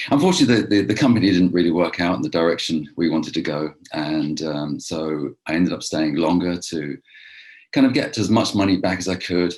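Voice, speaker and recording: A man with an English accent, very deep and low in pitch, at a fairly quick pace. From England, London. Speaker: real estate investor. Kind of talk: interview.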